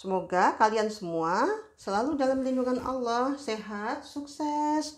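Over a quiet background, a woman speaks fairly slowly in a high pitch with lively intonation. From West Sumatra (Padang, Minangkabau); West Sumatra. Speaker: home cooking vlogger. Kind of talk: cooking tutorial. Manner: casual, chatty. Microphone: phone near.

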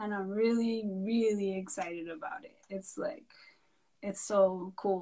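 A dark, mellow tone at a moderate pace, fairly even intonation, and a quiet background. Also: woman. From Santa Clara Pueblo, New Mexico; New Mexico. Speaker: artist; guest. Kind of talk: casual interview. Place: home room.

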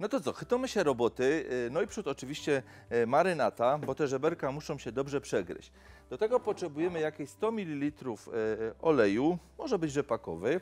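Very wide pitch swings from a man talking at a fairly quick pace. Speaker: TV cooking show host. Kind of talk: cooking show presentation. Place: studio.

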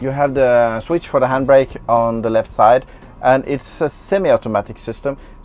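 The man's speech shows ordinary pitch variation while faint music sounds in the background. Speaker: bus driver reviewer. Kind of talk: vehicle walkthrough commentary. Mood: calm, informative. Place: bus.

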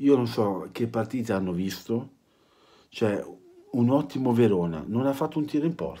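With lively intonation and a dark, mellow tone, a man speaks with long, frequent pauses. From Italy. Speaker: football fan vlogger. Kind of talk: angry rant about TV match commentary, vulgar and sarcastic. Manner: angry, sarcastic, fast and ranting; halting, repeating words. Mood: annoyed, mocking. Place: home room. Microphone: phone near.

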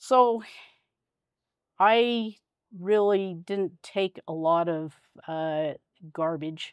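Against a quiet background, a woman speaks at a very slow pace with ordinary pitch variation, the sound dry with no echo. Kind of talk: interview answer. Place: home room. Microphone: lapel.

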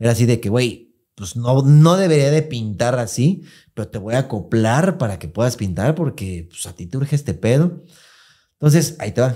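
Against a quiet background, a man with a Mexican accent speaks at a moderate pace and medium pitch in a dark, mellow tone, with very wide pitch swings and big swings in loudness. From Mexico. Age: 30s. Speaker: podcast host. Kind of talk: casual chat. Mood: candid, personal storytelling. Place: studio. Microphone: studio mic.

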